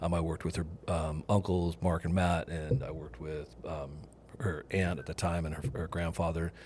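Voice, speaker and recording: A man's very deep, low voice with vocal fry and fairly even intonation. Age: 50s. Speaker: uncle of the host, shrimper and electrician. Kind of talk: casual chat. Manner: fast.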